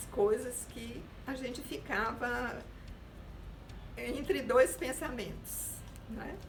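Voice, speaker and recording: Noticeable background noise and audible room echo surround the recording. A woman speaks very slowly in a high pitch. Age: 70s. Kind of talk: testimony.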